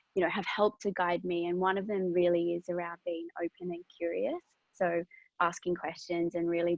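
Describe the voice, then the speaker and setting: In an Australian accent, a woman with a fairly low pitch speaks at a moderate pace in a monotone, flat intonation. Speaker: business sustainability professional, career speaker. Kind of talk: career talk to students. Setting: online webinar. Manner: reflective, with many fillers.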